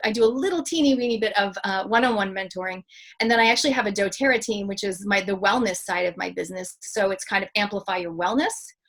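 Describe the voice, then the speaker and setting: Through noticeable background noise, a woman with a Canadian accent and medium pitch talks at a very fast pace with hardly any pauses. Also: ordinary pitch variation. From Canada. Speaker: public speaker and mentor. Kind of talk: interview.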